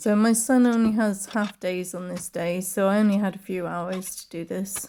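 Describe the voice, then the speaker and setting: The speaker is a woman. She has a British accent. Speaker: video blogger. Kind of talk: voice-over narration. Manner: casual, chatty.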